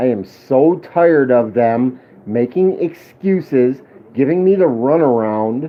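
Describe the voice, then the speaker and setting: A man talks at a medium pitch. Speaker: police accountability livestreamer. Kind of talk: livestream rant. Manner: loud, yelling.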